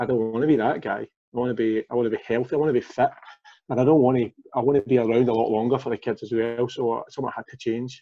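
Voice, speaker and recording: Talking at a very fast clip, a man delivers his words in a flat monotone with a Glaswegian accent. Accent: Glaswegian Scottish. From Glasgow, Scotland. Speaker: former fitness coaching client, father; former fitness coaching client. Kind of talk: casual interview. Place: home room. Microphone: video call.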